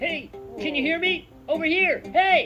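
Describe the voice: A cartoonish character voice at an extremely high pitch and moderate pace, with clear music in the background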